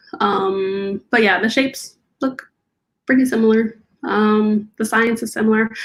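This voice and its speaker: A soft-spoken woman talks at a fairly slow pace. Her pitch is fairly high and her intonation fairly even. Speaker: aerospace engineer. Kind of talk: interview.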